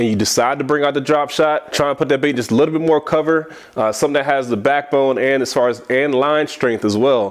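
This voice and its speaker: The speaker sounds animated and talks at a very fast pace. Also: man. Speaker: bass fishing angler, tackle tutorial host. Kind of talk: tutorial. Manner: casual, animated.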